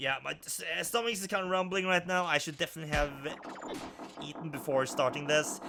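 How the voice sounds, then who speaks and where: The words come at a very fast pace. Behind them, music plays. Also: man. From Norway. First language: Norwegian. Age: 30s. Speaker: gaming YouTuber. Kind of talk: let's play commentary. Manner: halting.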